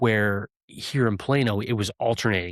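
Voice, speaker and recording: Here is a man with an ordinary speaking voice at a medium pitch and ordinary pitch variation. The recording is dry and close, without echo. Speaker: podcast host and former police officer. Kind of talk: casual chat.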